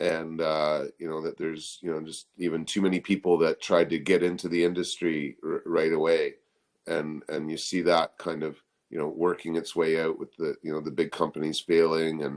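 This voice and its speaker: Speaking in a Canadian accent, a man with a very deep, low pitch keeps a moderate pace and flat, monotone intonation. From Ontario, Canada (near Stratford). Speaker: cannabis activist. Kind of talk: podcast interview. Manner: halting, many fillers and repetitions.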